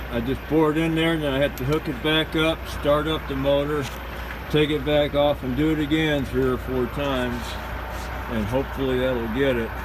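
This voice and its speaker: A man at a moderate pace, with noticeable background noise behind him. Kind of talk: tutorial. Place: street. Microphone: phone near.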